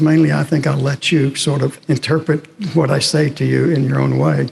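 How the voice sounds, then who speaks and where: At a moderate pace, a man with a fairly high voice speaks over noticeable background noise. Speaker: historian and professor. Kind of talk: lecture. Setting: chapel with audience.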